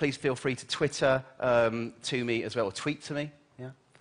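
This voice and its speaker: With a British accent, a man speaks in an animated tone. The background is quiet. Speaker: keynote speaker, journalist and futurist. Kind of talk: conference keynote talk. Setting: stage with audience. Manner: fast.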